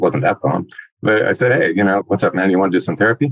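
This man has a fairly low-pitched voice. His intonation is lively. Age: 60s. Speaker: adoptee sharing his story. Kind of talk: podcast interview.

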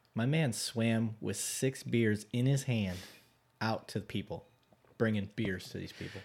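A man with a plain, everyday voice, medium pitch and ordinary pitch variation speaks at a fairly slow pace on a very clean recording with a silent background. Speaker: police officer podcast host. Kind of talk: casual chat.

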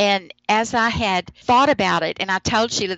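A woman with an American accent uses an ordinary speaking voice, talking at a fairly slow pace in a medium pitch with ordinary pitch variation. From United States. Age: 60s. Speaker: pastor. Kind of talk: casual chat.

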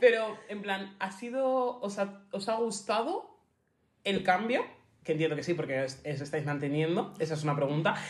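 A normal speaking voice with lively intonation, delivered at a fairly slow pace. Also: woman. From Spain, Getafe (Madrid). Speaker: podcast co-host. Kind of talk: casual chat.

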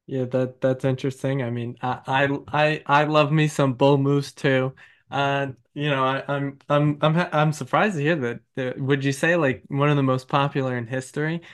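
The man's voice is fairly high in pitch and his pace is moderate. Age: 20s. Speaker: podcast host, aspiring lawyer. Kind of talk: interview. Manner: animated.

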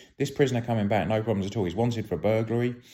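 A very fast man with fairly low pitch and a dark, mellow tone, on a very clean recording with a silent background. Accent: British. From UK. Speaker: retired police officer. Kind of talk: storytelling. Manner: halting.

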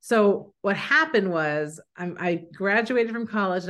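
This woman speaks in an American accent with ordinary pitch variation, over a quiet background. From San Francisco, US. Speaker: screenwriter. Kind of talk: interview. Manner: halting.

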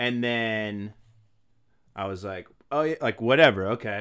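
A man speaks in an animated tone with an American accent and ordinary pitch variation. The recording is very clean, with a silent background. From US Northeast (Maine). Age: 20s. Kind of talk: casual chat.

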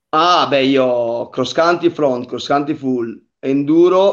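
The pace is very slow, with ordinary pitch variation. A man speaks with a fairly high pitch. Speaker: mountain bike racer. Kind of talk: casual interview on a live stream.

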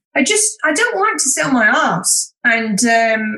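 Raising and projecting her voice, a woman with a Yorkshire accent talks at a fairly slow pace. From Yorkshire, northern England. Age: 50s. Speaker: wedding photographer. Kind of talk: casual chat.

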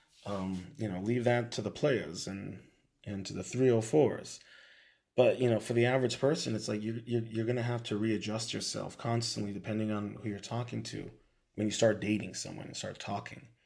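Amid audible room echo, a man talks at a fairly quick pace with a medium pitch. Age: 30s. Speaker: podcast host and beatmaker. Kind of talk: casual monologue rant. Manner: halting, many fillers and repeats.

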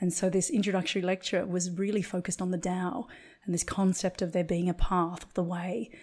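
Somewhat breathy and fairly quick, this voice has fairly even intonation and big swings in loudness on a very clean recording with a silent background. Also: woman, medium pitch for a woman. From Australia. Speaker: acupuncturist and Chinese medicine practitioner. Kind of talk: interview conversation.

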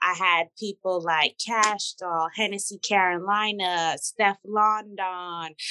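An animated, bright, sharp tone in a dry, close sound with no echo. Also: woman. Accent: New York. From Brooklyn, New York. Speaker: celebrity hairstylist. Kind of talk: casual chat.

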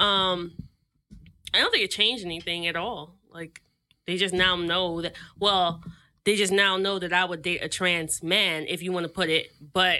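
With an American accent, a woman speaks at a medium pitch and moderate pace in a bright, sharp tone, her intonation monotone and flat, broken by long, frequent pauses. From US, Haitian family (Florida). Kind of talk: casual chat.

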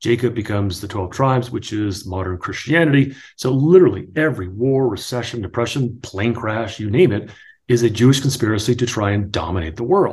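A man with an American accent at a medium pitch, somewhat breathy, fairly quick, with lively intonation. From New Jersey. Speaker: author and real estate agent, former sports broadcaster. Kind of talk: casual interview conversation.

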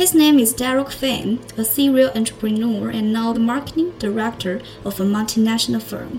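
Noticeable background noise sits behind a woman's fairly high voice. She keeps a moderate pace with ordinary pitch variation and hardly any pauses. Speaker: podcast host. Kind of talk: scripted intro followed by interview Q&A game.

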